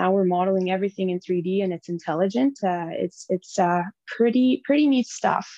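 A woman with a Franco-Ontarian accent has a dark, mellow tone, heard in a dry, close sound with no echo. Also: medium pitch for a woman, ordinary pitch variation, fairly quick pace. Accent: Franco-Ontarian Canadian English. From northern Ontario, French-Canadian (French River area). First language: French. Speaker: enduro motorbike rider and mining designer. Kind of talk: casual interview.

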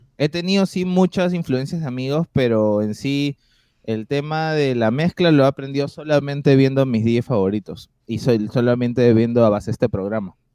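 Dark, mellow tone at a moderate pace, dry and close with no echo, over a quiet background. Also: man, medium pitch for a man. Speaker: DJ and producer. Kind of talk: casual interview chat.

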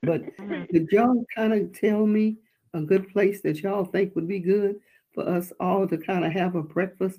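A woman's medium-pitched voice, dark, mellow and warm in tone, at a fairly slow pace. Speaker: church minister leading a congregation call. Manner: warm, affectionate, repetitive.

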